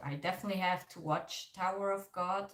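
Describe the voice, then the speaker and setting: The voice carries a German accent and ordinary pitch variation. It sounds somewhat breathy. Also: woman. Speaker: K-pop reaction YouTuber. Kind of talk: livestream reaction chat. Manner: casual, filler-heavy.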